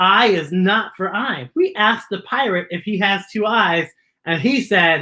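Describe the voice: The speaker does plain reading aloud, and the background stays quiet.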